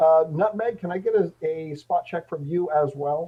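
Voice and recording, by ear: Pitched fairly high, a man talks at a moderate pace with ordinary pitch variation.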